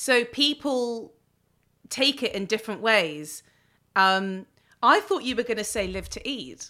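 With a London accent, a woman talks at a fairly slow pace in a bright, sharp tone and a fairly high pitch, her intonation lively and her long pauses frequent, in a very clean recording with a silent background. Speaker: podcast host. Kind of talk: casual interview chat.

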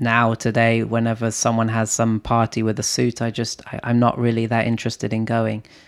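The recording is very clean with a silent background. A man talks at a medium pitch. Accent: London. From London, England. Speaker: entrepreneur and investor. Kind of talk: casual chat. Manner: hesitant, many filler words.

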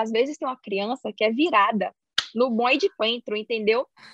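The voice moves at a fairly quick pace with ordinary pitch variation, sounding dry and close with no echo. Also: woman. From Brazil, Salvador (Bahia). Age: 20s. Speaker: chemical engineer. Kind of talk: casual interview. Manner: animated.

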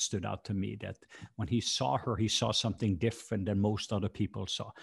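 Against a quiet background, a man with a Norwegian accent talks at a moderate pace in a fairly low voice with vocal fry, the sound dry and close with no echo. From Norway. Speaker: minister. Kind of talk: casual chat.

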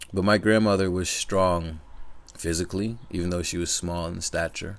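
On a very clean recording with a silent background, a man with a very deep, low pitch speaks at a moderate pace with fairly even intonation. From US Northeast, Connecticut. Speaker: podcaster. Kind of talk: personal monologue. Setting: speaking into a microphone.

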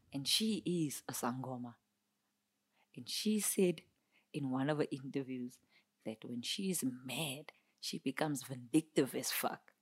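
With a very deep, low pitch, a woman speaks at a fairly slow pace, leaving long, frequent pauses. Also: lively intonation. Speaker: podcast co-host. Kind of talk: casual chat.

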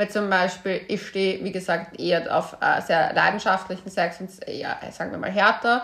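This woman's voice sits at a medium pitch, with a monotone, flat intonation. She keeps a moderate pace with hardly any pauses. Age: 30s. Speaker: podcast host and author. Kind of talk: casual chat.

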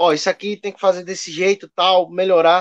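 A man's voice, dry and close with no echo. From Pernambuco, Brazil (Garanhuns). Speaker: podcast editor. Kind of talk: casual chat.

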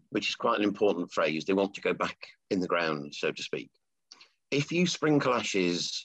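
A very deep, low male voice at a moderate pace over a quiet background. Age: 50s. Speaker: funeral business founder. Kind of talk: interview.

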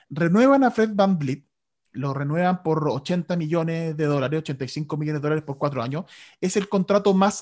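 Heard in a very clean recording with a silent background, a man in a normal speaking voice talks at a moderate pace, his pitch fairly high with ordinary variation. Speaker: sports radio host. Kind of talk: casual chat.

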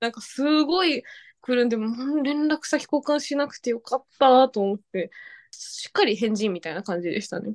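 Against a quiet background, a woman speaks at a high pitch with very wide pitch swings. Her pace is moderate. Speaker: podcast guest. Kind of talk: casual chat.

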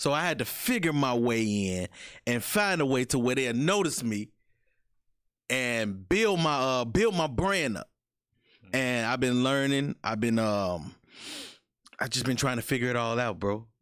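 Recorded very cleanly against a silent background, a man speaks at a fairly slow pace with long, frequent pauses. His medium-pitched voice has lively intonation. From Calumet City, Illinois (Chicago area). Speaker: podcast host. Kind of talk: casual interview.

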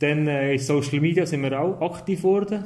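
A man's dark, mellow tone at a moderate pace, with ordinary pitch variation and audible room echo. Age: 30s. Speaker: primary school teacher, media education advisor. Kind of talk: casual interview.

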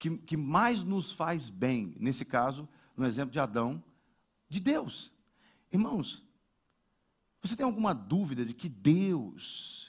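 Over a silent background in a very clean recording, a man speaks at a very slow pace in a fairly high pitch with very wide pitch swings. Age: 40s. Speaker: pastor. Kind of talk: sermon.

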